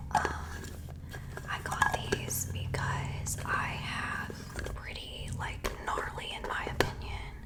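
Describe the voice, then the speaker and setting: A woman whispers with big swings in loudness. Noticeable background noise is present. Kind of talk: ASMR whispered favorites talk. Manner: whispered.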